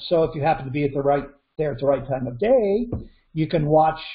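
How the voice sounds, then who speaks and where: Over a quiet background, a man speaks somewhat breathily with lively intonation. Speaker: presenter. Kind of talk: presentation commentary. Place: home room. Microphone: video call.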